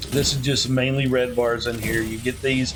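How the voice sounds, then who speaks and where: A man with a Southern US accent at a moderate pace, medium in pitch, with audible room echo and noticeable background noise. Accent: Southern US, slurred. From US South. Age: old. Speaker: gaming youtuber. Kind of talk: gameplay commentary. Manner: mumbling; casual, halting.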